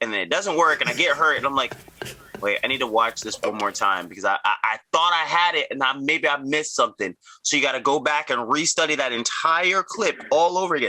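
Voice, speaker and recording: This man has a fairly high pitch and an American accent, with a plain, everyday voice. He talks at a fairly quick pace. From US, Virginia (Arlington). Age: 30s. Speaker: tricking athlete, podcast co-host. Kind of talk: casual chat.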